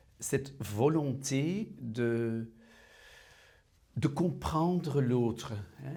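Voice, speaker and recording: Here a man speaks with a non-native accent and lively intonation. His tone is dark and mellow, with audible room echo. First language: Dutch (speaking French). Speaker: prison visitor. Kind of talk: testimony. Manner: halting.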